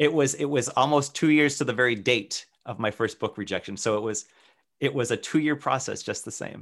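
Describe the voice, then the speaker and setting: A normal speaking voice with an American accent, a fairly quick pace and ordinary pitch variation. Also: man, medium pitch for a man. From Worcester, Massachusetts. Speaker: author and illustrator. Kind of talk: interview conversation.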